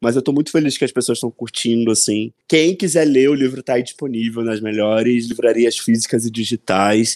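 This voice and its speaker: A man speaks in a normal speaking voice at a medium pitch, with ordinary pitch variation and a dry, close sound with no echo. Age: 20s. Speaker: author. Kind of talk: casual interview.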